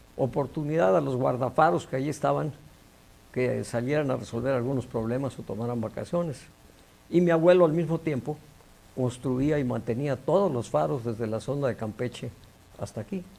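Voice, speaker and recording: At a moderate pace, a man uses lively intonation in a medium-pitched voice with a dark, mellow tone. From Mexico, Quintana Roo (Cozumel, Chetumal). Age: 70s. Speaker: engineer and science official. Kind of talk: TV interview.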